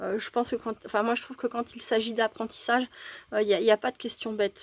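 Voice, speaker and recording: A woman speaks with a fairly high pitch. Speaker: crafter. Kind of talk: casual craft tutorial to camera.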